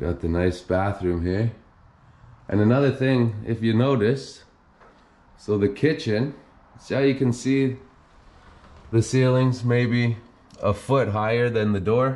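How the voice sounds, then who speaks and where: A man talks at a fairly slow pace, his pitch varying in an ordinary way. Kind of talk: casual exploration commentary. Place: bathroom. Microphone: phone near.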